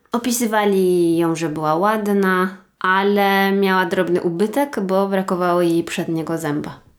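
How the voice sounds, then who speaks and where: A woman's normal speaking voice, medium in pitch, at a fairly slow pace with hardly any pauses, fairly even intonation and very even loudness. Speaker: true crime podcast co-host. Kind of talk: casual chat and crime storytelling.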